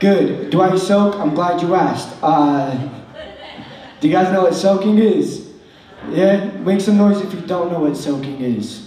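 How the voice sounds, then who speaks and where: Over light background noise and audible room echo, a man talks fairly slowly in a high voice with ordinary pitch variation. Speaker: stand-up comedian. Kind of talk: stand-up comedy routine. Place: stage.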